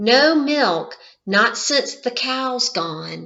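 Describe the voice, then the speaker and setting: A woman uses a put-on character voice. Her pitch is high and swings very widely. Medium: read story. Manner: drowsy, mishears things.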